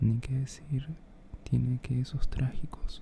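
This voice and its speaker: The voice whispers at a very slow pace. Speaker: reader. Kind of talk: philosophy reading. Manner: whispered.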